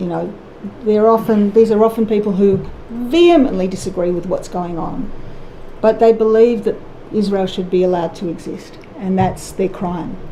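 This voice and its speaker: Over noticeable background noise, a woman talks at a moderate pace and medium pitch with ordinary pitch variation. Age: 60s. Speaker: musician. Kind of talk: testimony. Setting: public inquiry hearing.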